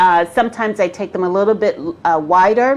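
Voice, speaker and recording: Over music in the background, a woman speaks in an animated tone at a medium pitch and moderate pace, with ordinary pitch variation. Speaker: business coach. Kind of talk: live-streamed tutorial. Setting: Facebook live stream.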